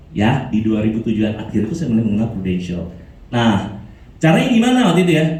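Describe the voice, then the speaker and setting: With very wide pitch swings and an animated tone, a man talks at a fairly quick pace amid audible room echo and noticeable background noise. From Indonesia, Makassar. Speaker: motivational speaker, insurance agent. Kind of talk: motivational talk.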